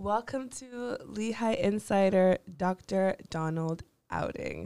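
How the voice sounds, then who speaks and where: A woman has an unremarkable speaking voice at medium pitch. She speaks with ordinary pitch variation. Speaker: podcast host. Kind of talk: interview conversation.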